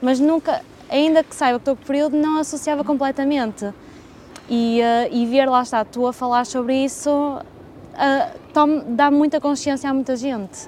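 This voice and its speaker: Her voice is high in pitch, with a European Portuguese accent and fairly even intonation. She speaks at a fairly slow pace over noticeable background noise. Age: 20s. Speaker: podcast host. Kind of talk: scripted narration.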